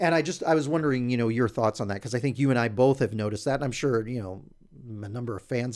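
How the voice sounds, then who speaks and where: Here is a man with a medium pitch and ordinary pitch variation, using a normal speaking voice. The recording is very clean, the background silent. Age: 40s. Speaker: hockey fan site founder and podcast co-host. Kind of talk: casual chat. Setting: studio.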